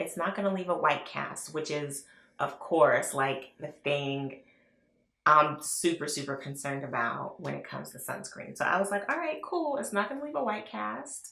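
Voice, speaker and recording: With audible room echo, a woman speaks in a bright, sharp tone whose pitch swings very widely. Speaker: beauty vlogger. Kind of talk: product review. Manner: casual, chatty.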